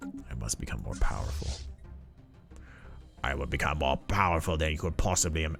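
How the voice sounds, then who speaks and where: Doing a put-on character voice, a man speaks raspy and very deep at a moderate pace with long, frequent pauses, as clear music plays in the background. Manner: menacing, rude, mean.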